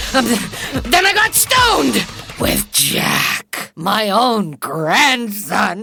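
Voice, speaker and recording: A cartoonish character voice at a fairly high pitch drawls along at a very slow pace. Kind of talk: mock-archaic sorceress speech in the fantasy scenes. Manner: brash, wheedling.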